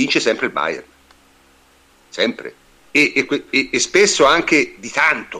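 A man talks at a very slow pace. His speech is broken by long, frequent pauses. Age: 60s. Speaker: podcast host, football fan. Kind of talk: casual chat, football discussion. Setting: online live show.

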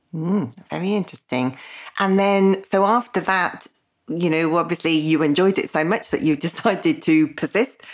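A woman at medium pitch speaks at a moderate pace with ordinary pitch variation in an unremarkable speaking voice. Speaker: podcast host. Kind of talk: interview, conversational.

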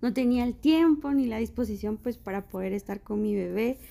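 The woman's tone is dark and mellow, her pitch fairly high. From Guatemala, Quetzaltenango. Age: 30s. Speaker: doctor. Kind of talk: interview.

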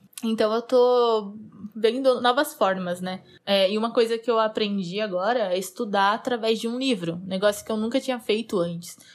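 A woman with a fairly high pitch speaks at a moderate pace with ordinary pitch variation in a plain, everyday voice. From Brazil, interior of São Paulo state. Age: 20s. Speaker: software engineer. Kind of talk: casual monologue.

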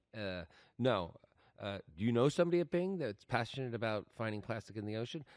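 On a very clean recording with a silent background, a man in an ordinary speaking voice of medium pitch talks at a fairly quick pace with lively intonation. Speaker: podcast host. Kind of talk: casual interview chat. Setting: conference, recorded at Cannes.

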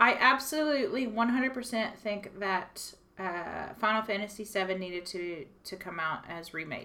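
Bright and sharp in tone, a woman with a medium pitch speaks at a fairly slow pace with lively intonation, hardly any pauses and big swings in loudness. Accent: Texas. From Texas. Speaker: radio host. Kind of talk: casual chat.

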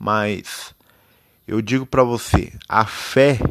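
A man talks with ordinary pitch variation. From Brazil, interior of São Paulo state. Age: 20s. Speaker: amateur podcaster. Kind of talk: personal monologue. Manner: halting.

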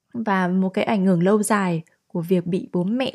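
On a very clean recording with a silent background, a woman of medium pitch speaks with a dark, mellow tone and fairly even intonation. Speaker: podcast host. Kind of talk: solo podcast monologue.

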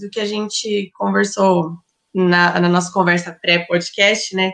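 A woman's voice with ordinary pitch variation. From Brazil, Ribeirão Preto (São Paulo state). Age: 20s. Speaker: fashion and astrology student. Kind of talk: casual interview chat.

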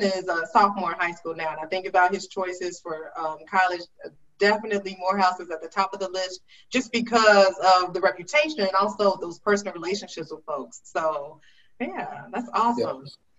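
A normal speaking voice from a woman, medium in pitch with ordinary pitch variation, a fairly quick pace and big swings in loudness. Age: 40s. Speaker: talk show host, writer and storyteller. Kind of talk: interview.

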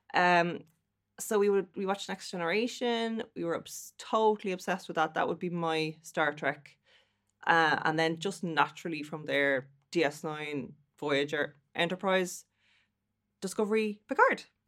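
A woman with a Dublin accent, animated in tone and fairly low in pitch, with ordinary pitch variation at a moderate pace, in a very clean recording with a silent background. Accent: Irish, Dublin. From Dublin, Ireland. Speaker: guest. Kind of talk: casual chat. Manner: animated, laughs often.

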